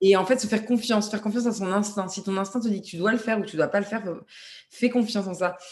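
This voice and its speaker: A woman's somewhat breathy voice sits at a medium pitch with ordinary pitch variation. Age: 30s. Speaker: singer-songwriter. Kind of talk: casual interview. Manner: hesitant, many repeated words.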